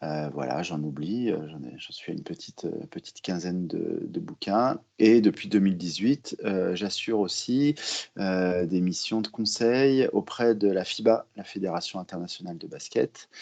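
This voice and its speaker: A man with a dark, mellow tone, fairly low in pitch, at a fairly slow pace, with lively intonation and big swings in loudness. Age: 40s. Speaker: basketball journalist and author. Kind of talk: podcast interview. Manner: hesitant, many fillers.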